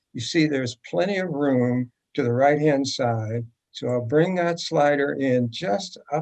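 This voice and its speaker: An ordinary speaking voice with lively intonation at a fairly slow pace. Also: man. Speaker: photography teacher. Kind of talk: tutorial.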